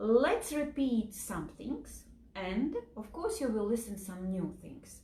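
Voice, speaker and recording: Speaking in a Latvian accent at a very slow pace, a woman uses a fairly high pitch and lively intonation. Her loudness swings widely, with noticeable background noise behind her. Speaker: health and nutrition educator. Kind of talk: lecture. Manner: slow, simple wording; halting, with fillers.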